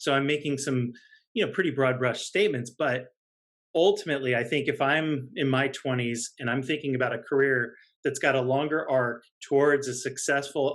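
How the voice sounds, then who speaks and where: A man with a normal speaking voice and a fairly high pitch talks at a moderate pace with fairly even intonation. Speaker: marketing executive. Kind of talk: interview.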